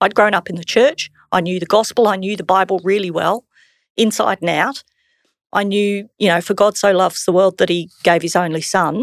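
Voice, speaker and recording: In an Australian accent, a woman talks at a moderate pace and medium pitch on a very clean recording with a silent background. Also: dry, close sound with no echo. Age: 50s. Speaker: church member sharing testimony. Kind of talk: testimony.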